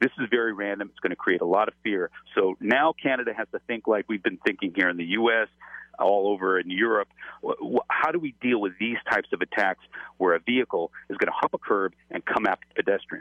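A man's plain, everyday voice with an American accent, fairly low in pitch, at a fairly quick pace with ordinary pitch variation. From Los Angeles. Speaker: former FBI agent. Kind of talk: interview. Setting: phone call.

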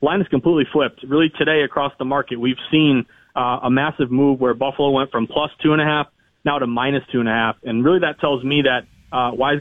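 A plain, everyday voice with fairly even intonation. The pace is fairly quick. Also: man. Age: 30s. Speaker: sports betting reporter and author. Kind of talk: casual radio interview.

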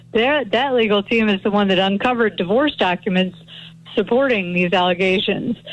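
Speaking at a fairly quick pace in an unremarkable speaking voice, this clip has ordinary pitch variation and very even loudness. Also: woman, medium pitch for a woman. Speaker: criminal defense attorney. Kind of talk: radio interview, legal commentary.

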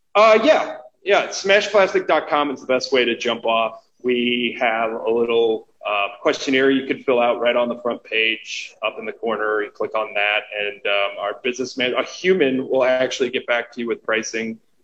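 He has a normal speaking voice at a medium pitch. This man keeps a moderate pace with lively intonation and hardly any pauses. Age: 40s. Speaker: record pressing plant co-owner. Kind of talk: casual interview.

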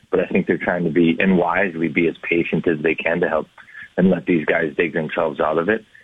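With an American accent, a man talks over noticeable background noise. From Minnesota. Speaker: former hockey player and color analyst. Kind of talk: radio interview. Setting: phone call.

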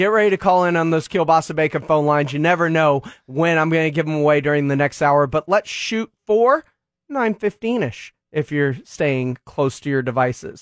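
A man with an unremarkable speaking voice and fairly high pitch, moderate pace and ordinary pitch variation, in a dry, close sound with no echo against a quiet background. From Texas. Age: 40s. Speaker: sports radio host. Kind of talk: sports radio talk show. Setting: radio studio.

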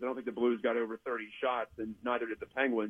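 Speaking fairly quickly with an American accent, a man uses a normal speaking voice at a medium pitch. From West Virginia (Weirton). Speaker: hockey writer. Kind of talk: sports talk interview.

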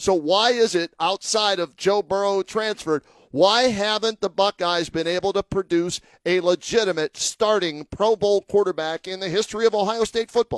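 At a moderate pace, a man with a high pitch speaks with fairly even intonation in a dry, close sound with no echo. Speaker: sports radio host. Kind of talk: sports talk radio interview. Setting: studio.

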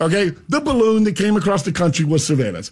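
A loud man with a Florida accent talks at a high pitch in an animated tone, his intonation lively. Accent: US Southern (Florida). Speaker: radio host and farmer. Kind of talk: casual chat. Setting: radio studio.

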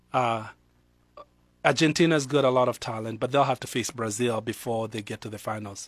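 Speaking at a fairly quick pace in a Kenyan accent, a man keeps a medium pitch and fairly even intonation while his loudness swings widely. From Kenya, Nairobi. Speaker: pastor. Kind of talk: casual chat. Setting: studio.

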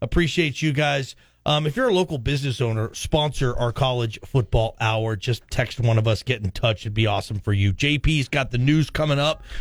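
At a moderate pace, a man speaks at medium pitch with ordinary pitch variation, a somewhat breathy, energetic, animated tone and hardly any pauses. The recording is very clean, with a silent background. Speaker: radio host. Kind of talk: radio sports talk show banter. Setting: radio studio. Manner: energetic, chatty, animated radio patter.

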